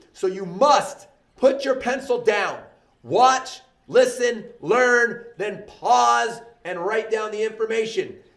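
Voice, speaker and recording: Through audible room echo, a man speaks at an extremely high pitch with ordinary pitch variation. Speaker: math teacher. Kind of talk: lecture. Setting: recorded video lesson.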